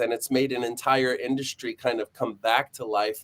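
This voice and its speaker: A man at a medium pitch, an ordinary speaking voice at a moderate pace, in a dry, close sound with no echo. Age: 40s. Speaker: live stream host, acting school. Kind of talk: casual chat.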